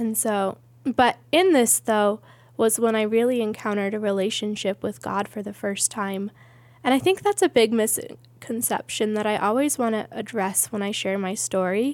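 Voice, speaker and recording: A woman speaks in an American accent with an unremarkable speaking voice. Her fairly high pitch has fairly even intonation at a moderate pace. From USA, military family moving around. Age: 30s. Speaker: church member sharing testimony. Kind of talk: testimony.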